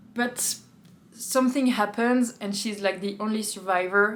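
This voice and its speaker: A woman speaks in a normal speaking voice. Her pace is fairly slow and her intonation fairly even. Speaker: book reviewer. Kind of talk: casual book review monologue.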